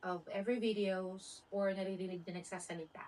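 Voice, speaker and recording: A woman's monotone, flat intonation unfolds at a fairly slow pace. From Philippines. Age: 40s. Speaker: vlogger. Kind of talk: casual talk to camera. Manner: hesitant, awkward.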